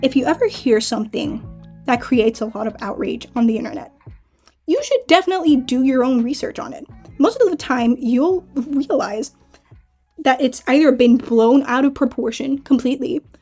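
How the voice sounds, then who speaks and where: A woman speaks at a moderate pace in a high voice, her loudness swinging widely, with music playing behind her. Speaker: YouTube commentary creator. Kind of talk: casual commentary to camera.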